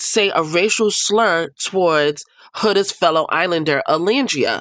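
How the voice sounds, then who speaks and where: Speaking with an animated tone and a New York accent, a woman takes a fairly slow pace. The sound is dry and close, with no echo. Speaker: reality TV commentator. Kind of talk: casual commentary.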